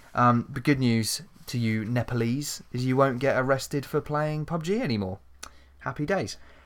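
A man with an ordinary speaking voice at medium pitch, at a moderate pace with ordinary pitch variation, in a very clean recording with a silent background. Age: 20s. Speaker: podcast host. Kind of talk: casual chat.

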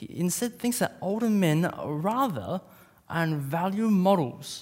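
At a fairly slow pace, a man with an Australian accent talks in a high voice that makes very wide pitch swings. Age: 20s. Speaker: preacher. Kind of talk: sermon.

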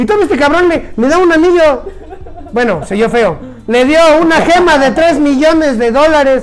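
In an animated tone, a man speaks at a moderate pace with an extremely high pitch, ordinary pitch variation and very even loudness, against noticeable background noise and audible room echo. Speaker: podcast host. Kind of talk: casual chat.

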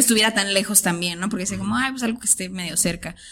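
With a bright, sharp tone, a woman speaks with ordinary pitch variation. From Tijuana, Mexico. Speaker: artist. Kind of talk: casual chat.

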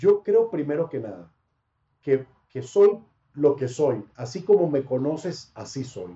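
A somewhat breathy man with a northern Mexican accent, fairly high pitch, very wide pitch swings and a fairly slow pace. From Panama. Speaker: sports broadcaster. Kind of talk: casual interview.

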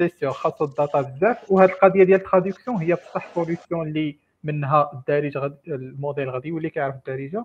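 This man talks very fast with hardly any pauses, his fairly high voice showing ordinary pitch variation over a quiet background. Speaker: AI engineer. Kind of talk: technical discussion.

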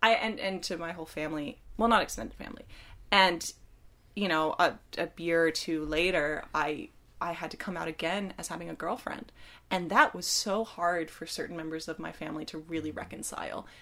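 A woman with an ordinary speaking voice talks fairly quickly at a fairly low pitch, her loudness swinging widely and her pitch varying in an ordinary way. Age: 20s. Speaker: film student. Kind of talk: casual chat.

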